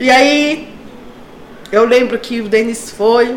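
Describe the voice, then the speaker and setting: Over noticeable background noise and audible room echo, a woman speaks at a fairly high pitch with fairly even intonation. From São Paulo, Brazil. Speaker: church member sharing testimony. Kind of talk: testimony.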